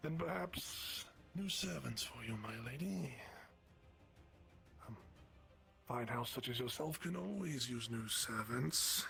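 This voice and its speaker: In a put-on character voice, a man speaks at a medium pitch and a fairly slow pace against clear background noise. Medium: actual play. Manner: smooth, formal.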